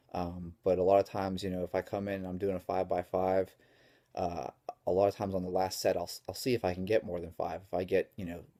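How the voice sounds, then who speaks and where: Quiet and flat in a monotone, the dark, mellow voice moves at a fairly quick pace in a dry, close sound with no echo on a very clean recording with a silent background. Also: man. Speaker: strength coach. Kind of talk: vlog tutorial.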